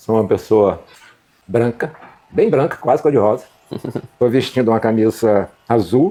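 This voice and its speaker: Moderately paced, this dark, mellow voice shows ordinary pitch variation. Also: man. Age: 70s. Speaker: museum director and communication researcher. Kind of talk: interview.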